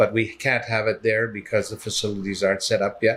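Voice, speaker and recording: A man with a Canadian accent speaks in a bright, sharp tone on a very clean recording with a silent background. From Canada. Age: 60s. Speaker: patient. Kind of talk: testimony. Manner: halting.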